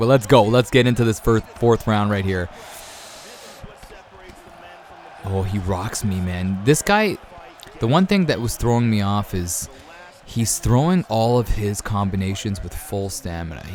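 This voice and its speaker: Against noticeable background noise, a man with a fairly low pitch talks fairly slowly, leaving long, frequent pauses. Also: ordinary pitch variation. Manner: tight-lipped, clipped.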